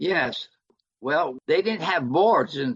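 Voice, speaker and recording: A man at a very slow pace. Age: 80s+. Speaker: physician and public health lecturer. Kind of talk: interview answer.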